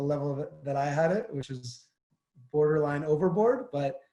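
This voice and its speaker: In a New Jersey accent, a man with a fairly high pitch and a dark, mellow, somewhat breathy tone speaks at a fairly quick pace with ordinary pitch variation. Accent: New Jersey American. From northern New Jersey, US. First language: Armenian. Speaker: former pro soccer player. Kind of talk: interview. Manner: hesitant, many fillers.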